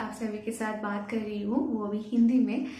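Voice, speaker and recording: A woman speaks at a moderate pace in a fairly high pitch with fairly even intonation, with audible room echo and noticeable background noise. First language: Bengali (speaking Hindi). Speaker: YouTuber. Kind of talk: Q&A vlog. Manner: halting, many fillers.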